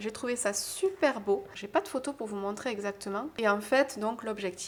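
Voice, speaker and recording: A woman with a southern French accent, fairly high in pitch, at a moderate pace with ordinary pitch variation and big swings in loudness. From southern France. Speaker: wedding decoration maker, small business owner. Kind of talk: casual vlog narration.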